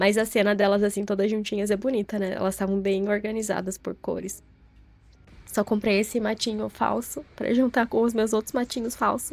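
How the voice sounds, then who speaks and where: A woman speaks at medium pitch in a monotone, flat intonation. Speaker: vlogger, content creator. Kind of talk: casual vlog narration. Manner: slow and calm when narrating.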